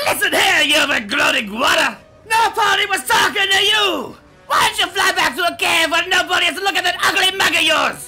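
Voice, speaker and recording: A man shouts in a put-on character voice. Faint music plays in the background. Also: fairly quick pace. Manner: boisterous, loud bragging.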